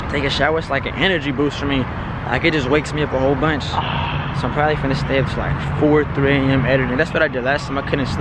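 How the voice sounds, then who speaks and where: Talking very fast, a man is heard with a dry sound with no echo against loud background noise. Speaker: vlogger. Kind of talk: casual vlog chat.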